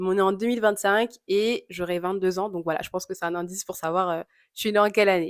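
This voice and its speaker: A woman's medium-pitched voice at a very fast pace, with monotone, flat intonation. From Congolese heritage (both parents). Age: 20s. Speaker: YouTuber. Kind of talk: Q&A vlog, casual. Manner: casual, many filler hesitations.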